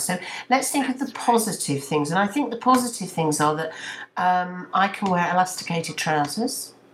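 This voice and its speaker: There is noticeable background noise as a woman talks at a fairly quick pace. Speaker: radio presenter. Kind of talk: casual chat. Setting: video call.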